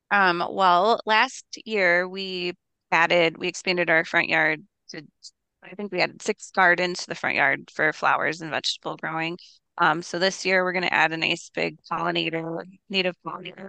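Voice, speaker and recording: Using a plain, everyday voice, a woman with an American accent talks at a moderate pace in a fairly low pitch, her intonation fairly even, her loudness swinging widely, and the sound dry and close with no echo. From Minnesota, Minneapolis. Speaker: cookbook author and homesteader. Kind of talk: interview.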